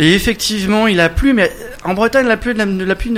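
The speech moves at a moderate pace. Its pitch varies an ordinary amount. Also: man. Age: 40s. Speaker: musician. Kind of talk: casual chat. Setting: studio.

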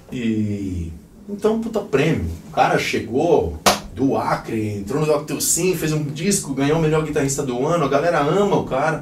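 A man speaks at a fairly high pitch, his voice swinging very widely in pitch. Audible room echo and noticeable background noise surround him. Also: moderate pace. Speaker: rock musician. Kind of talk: casual interview. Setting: band rehearsal room.

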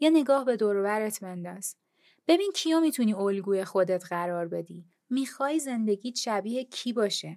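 Delivered at a moderate pace, a normal speaking voice moves with lively intonation. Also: woman, fairly high pitch for a woman, very clean recording, silent background. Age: 30s. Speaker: podcast host. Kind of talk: personal monologue.

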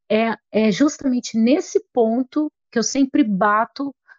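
Pitched high, a woman speaks at a very slow pace with ordinary pitch variation. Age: 40s. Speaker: holistic therapist. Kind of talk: casual interview chat.

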